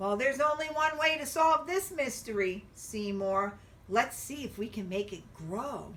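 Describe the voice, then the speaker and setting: A woman puts on a character voice, pitched fairly high and delivered at a moderate pace. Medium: read story. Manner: eager, curious.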